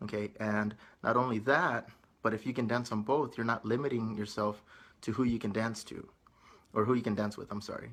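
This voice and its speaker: A man with an American accent and a normal speaking voice, medium pitch, at a fairly quick pace. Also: fairly even intonation. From United States, bilingual English-Spanish household. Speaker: salsa dance instructor. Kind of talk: vlog tutorial. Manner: casual, conversational with fillers.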